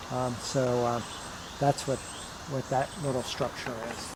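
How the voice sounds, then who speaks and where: A man's moderately paced speech comes through with noticeable background noise behind it. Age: 60s. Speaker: home gardener and conservationist. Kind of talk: garden tour. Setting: outdoors. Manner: halting, many fillers.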